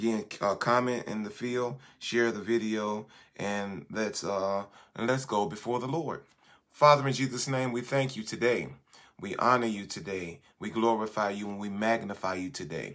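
In a quiet setting, a man with a fairly low voice speaks at a moderate pace with ordinary pitch variation. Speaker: bishop leading online prayer. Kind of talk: fervent intercessory prayer, repetitive petitions to God. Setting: live stream with prayer line. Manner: impassioned, rhythmic repetition punctuated by 'God' and 'Lord'; halting, filler-heavy with frequent 'uh' in spoken intro. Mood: earnest, reverent. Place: home room. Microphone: phone near.

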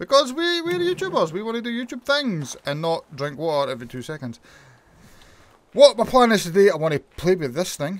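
This is a man speaking. He talks with a Scottish accent. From Scotland. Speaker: gaming YouTuber. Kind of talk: gameplay commentary. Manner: animated.

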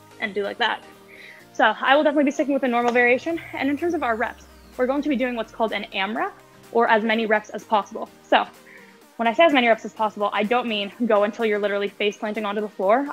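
A woman talks at a very fast pace with ordinary pitch variation. Faint music plays in the background. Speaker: fitness instructor. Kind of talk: tutorial. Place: garage.

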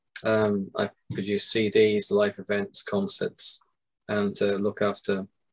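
A man with a British accent at a fairly slow pace, over a quiet background. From UK. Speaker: music book author and video game music expert. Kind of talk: interview. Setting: video call. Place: home room. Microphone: video call.

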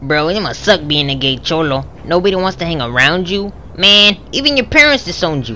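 Someone in a put-on character voice of middle pitch talks at a fairly quick pace over clear background noise. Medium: machinima. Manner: loud, slangy.

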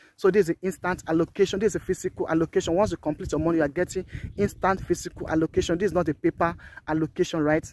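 Talking very fast in an animated tone, a man with a Nigerian accent has a high voice. The sound is dry with no echo, over light background noise. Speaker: real estate marketer. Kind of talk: sales pitch. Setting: outdoors, walking the estate site. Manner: animated, hard-sell pitchman; repeats key phrases for emphasis. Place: open country. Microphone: phone near.

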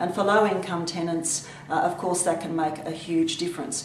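A woman talks at a moderate pace. There is audible room echo and light background noise. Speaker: government minister. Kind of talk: video address. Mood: warm, enthusiastic. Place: office. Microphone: webcam.

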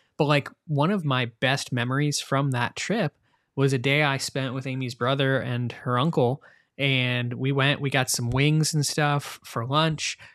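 This man has an ordinary speaking voice, fairly high in pitch with fairly even intonation, on a very clean recording with a silent background. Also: fairly slow pace. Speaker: podcast host. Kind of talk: casual chat.

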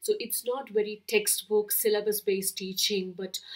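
A woman speaks at a fairly slow pace with an Indian accent. The background is quiet. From Kerala, India. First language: Malayalam. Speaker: book vlogger. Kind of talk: casual chat, book tag video. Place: home room.

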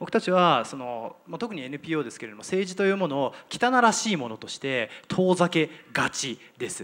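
A man with a high pitch speaks at a moderate pace with hardly any pauses, very wide pitch swings and big swings in loudness. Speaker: nonprofit leader; panelist. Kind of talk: panel discussion. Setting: stage with audience. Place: hall. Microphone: handheld.

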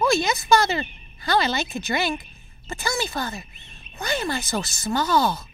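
A man puts on a character voice at an extremely high pitch with very wide pitch swings. He keeps a moderate pace with long, frequent pauses over clear background noise.

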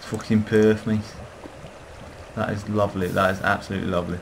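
This man's pitch is very deep and low, and he talks at a fairly quick pace. Noticeable background noise runs under his voice. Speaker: gamer. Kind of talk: gameplay commentary.

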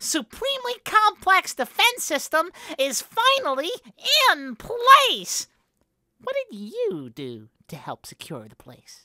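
The voice is extremely high in pitch and moves at a fairly slow pace. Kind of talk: comic overacting. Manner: boastful, shouting, then panicked.

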